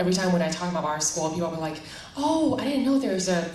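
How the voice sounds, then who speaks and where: A woman speaks with a Chinese accent in a room with audible echo. Noticeable background noise runs behind her. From Taiwan. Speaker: school enrollment director. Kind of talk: panel discussion.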